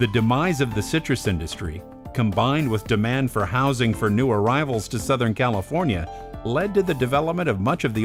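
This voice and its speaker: Music plays behind a man whose pitch swings very widely while his loudness stays very even. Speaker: voice actor. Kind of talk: documentary narration.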